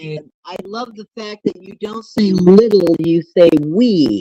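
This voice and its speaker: A woman at a very slow pace, lively in intonation, in a dry, close recording with no echo. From US Midwest, northern Illinois. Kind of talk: casual chat.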